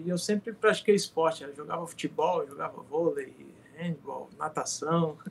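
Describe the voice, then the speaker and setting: A man talks with a high pitch. His pace is moderate. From Brazil, Paraíba (Campina Grande). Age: 30s. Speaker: former professional volleyball player, business administrator. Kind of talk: casual interview chat.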